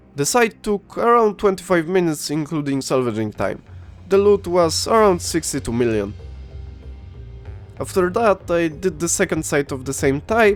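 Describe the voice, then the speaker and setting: With music in the background, a man talks at a moderate pace in a fairly high voice, his pitch swinging very widely. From Poland. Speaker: video game YouTuber. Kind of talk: gameplay commentary narration.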